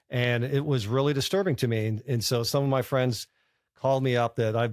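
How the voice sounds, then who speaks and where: A man's unremarkable speaking voice at medium pitch and a fairly quick pace, with ordinary pitch variation, on a very clean recording with a silent background. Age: 60s. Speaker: bank founder and former lawyer. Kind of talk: interview. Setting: college campus conference.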